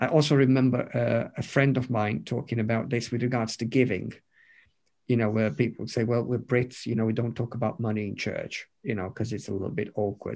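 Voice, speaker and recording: A man talks at a fairly quick pace with vocal fry. His intonation is fairly even, and the background is quiet. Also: medium pitch for a man. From Romania. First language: Romanian. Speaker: pastor. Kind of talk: interview. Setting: video call.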